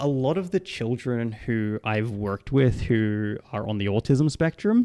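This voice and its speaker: Recorded very cleanly with a silent background, a man with an Australian accent has a dry, close sound with no echo. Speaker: psychologist. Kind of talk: livestream Q&A. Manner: casual, lots of fillers.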